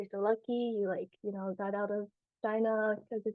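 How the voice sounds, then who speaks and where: A woman with an American accent and a fairly high pitch has an ordinary speaking voice. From US South, South Carolina. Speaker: adoptee panelist. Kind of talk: casual chat.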